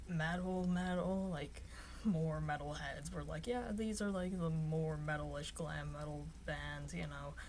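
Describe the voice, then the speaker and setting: Noticeable background noise and audible room echo accompany a woman speaking at a fairly slow pace. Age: adult. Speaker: YouTuber. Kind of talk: casual vlog talk. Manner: monotone; rambling with fillers.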